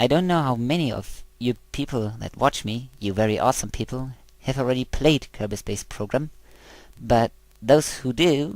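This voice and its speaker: The recording is very clean, with a silent background. A man speaks with a German accent. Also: medium pitch for a man, ordinary pitch variation, moderate pace. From Germany. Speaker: video game let's player. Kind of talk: gameplay commentary. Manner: halting.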